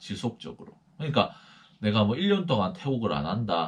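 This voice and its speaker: A male voice at a medium pitch. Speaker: missionary. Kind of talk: lecture.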